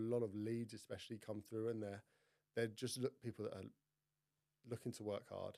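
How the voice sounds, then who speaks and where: A man speaks with a southern English accent at a medium pitch. His tone is dark and mellow, his intonation flat and monotone. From Kent, southeast England. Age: 20s. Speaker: fitness coach, former rugby player. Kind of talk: casual chat.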